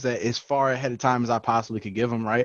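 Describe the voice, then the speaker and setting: A man speaks loudly. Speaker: podcast co-host. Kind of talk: casual chat. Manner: animated.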